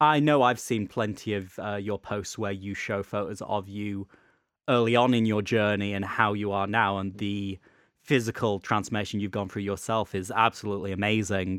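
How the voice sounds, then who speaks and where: This man has a British accent and a fairly low pitch. His intonation stays fairly even. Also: moderate pace. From UK. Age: 20s. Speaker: podcast host. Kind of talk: casual chat.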